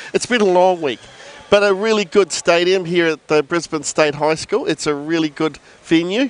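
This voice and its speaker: A man with a New Zealand accent and a high pitch is heard in a dry, close sound with no echo. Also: ordinary pitch variation, moderate pace. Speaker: co-commentator. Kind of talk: live commentary.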